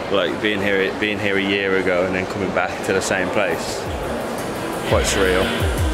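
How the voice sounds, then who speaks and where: A man talks at a moderate pace, with music in the background. The sound is dry, with no echo. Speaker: travel vlogger. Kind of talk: casual vlog chat.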